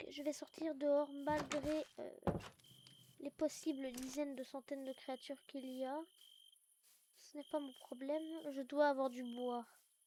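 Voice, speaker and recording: Speaking at a fairly slow pace, a woman with a high pitch and a dark, mellow tone keeps a monotone, flat intonation, leaves long, frequent pauses, and swings widely in loudness. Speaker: gaming youtuber. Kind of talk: let's play commentary.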